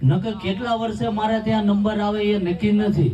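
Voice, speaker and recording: Over crowd noise in the background, a man with a high-pitched voice speaks, and room echo is audible. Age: 40s. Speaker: spiritual speaker, anti-alcohol campaigner. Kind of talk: public speech at community wedding.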